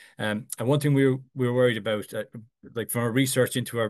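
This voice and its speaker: A man in a monotone, flat intonation against a quiet background. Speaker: instructional designer. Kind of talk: conference presentation. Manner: halting, many fillers and repetitions.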